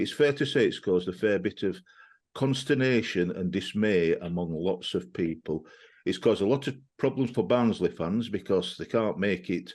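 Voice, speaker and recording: A man with a Yorkshire accent, fairly low-pitched, with lively intonation at a moderate pace over a quiet background. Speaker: football podcast host. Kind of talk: casual chat. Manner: halting.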